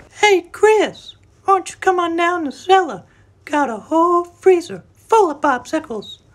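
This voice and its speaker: An extremely high, squeaky put-on character voice. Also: moderate pace. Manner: creepy, luring.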